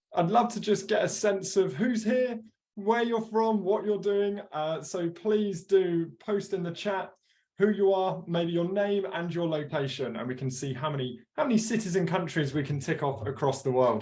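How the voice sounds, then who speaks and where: A man in a British accent, high in pitch with a dark, mellow tone, lively intonation and a moderate pace. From UK. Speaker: product webinar host. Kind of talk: product webinar presentation. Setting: live webinar. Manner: animated.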